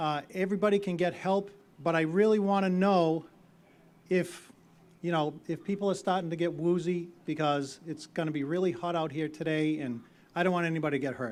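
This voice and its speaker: A man with a Boston accent talks at a fairly quick pace, with a high pitch and fairly even intonation. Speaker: town meeting moderator. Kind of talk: public meeting address. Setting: outdoors.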